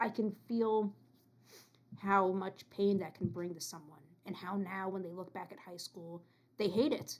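A woman speaks in a normal speaking voice at a moderate pace. Her intonation stays fairly even. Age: 20s. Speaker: returning podcast guest, student. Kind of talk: casual chat.

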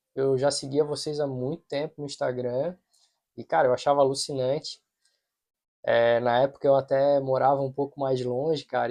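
A man speaks at a medium pitch and a moderate pace, in a dark, mellow tone. His intonation is monotone and flat, and the sound is dry and close with no echo. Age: 40s. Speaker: podcast host. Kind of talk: casual chat.

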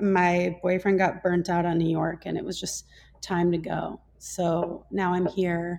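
Music plays in the background as a woman with an American accent speaks at a very slow pace and a fairly low pitch. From US Midwest, Minnesota. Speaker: holistic nutrition practitioner. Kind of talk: casual interview conversation.

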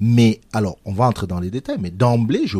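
The man's voice is fairly low in pitch with a dark, mellow tone. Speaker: radio host. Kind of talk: interview.

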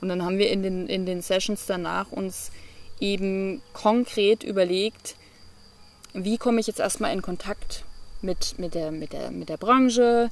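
The woman has a plain, everyday voice at medium pitch. Her pitch varies in an ordinary way. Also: fairly slow pace. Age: 20s. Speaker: entrepreneur and digital nomad. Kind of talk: interview.

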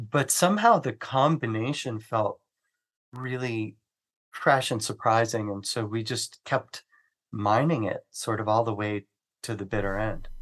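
Against a quiet background, a man with an ordinary speaking voice talks at a fairly slow pace with ordinary pitch variation. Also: medium pitch for a man. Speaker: rock singer and musician. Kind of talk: casual interview chat.

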